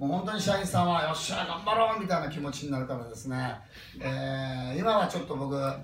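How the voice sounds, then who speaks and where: In a Kansai accent, a man talks at a fairly quick pace with very wide pitch swings, amid noticeable background noise and audible room echo. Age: 50s. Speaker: motivational speaker. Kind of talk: talk to a live audience.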